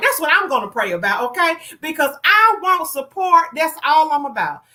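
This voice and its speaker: Projecting a raised voice in a slight Southern US accent, a woman speaks at a moderate pace with lively intonation and a bright, sharp tone. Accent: a little country. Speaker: online show host. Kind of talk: casual livestream talk. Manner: loud; animated.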